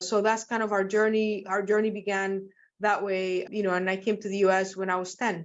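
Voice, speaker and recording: A woman in a Spanish accent, fairly quick and monotone, with flat intonation. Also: medium pitch for a woman. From Nicaragua, then Seattle from age ten. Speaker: physician and medical professor. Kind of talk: interview. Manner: warm, articulate.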